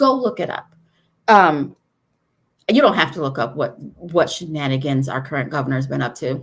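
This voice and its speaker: In a very clean recording with a silent background, a woman with an American accent speaks at a very deep, low pitch, taking long, frequent pauses. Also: ordinary pitch variation. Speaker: state party chair. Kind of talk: live video update. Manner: fast.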